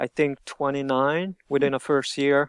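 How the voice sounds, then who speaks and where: In a quiet background with a dry, close sound and no echo, a man with a Hungarian accent speaks at a moderate pace, his fairly high pitch delivered with fairly even intonation. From Hungary. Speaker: shop owner, t-shirt designer. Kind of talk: interview. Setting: podcast interview.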